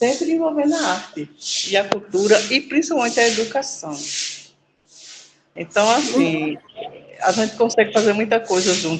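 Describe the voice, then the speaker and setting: A woman with a fairly high voice speaks at a moderate pace, her pitch swinging very widely. She leaves long, frequent pauses. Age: 50s. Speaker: muralist artist. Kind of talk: class discussion testimony.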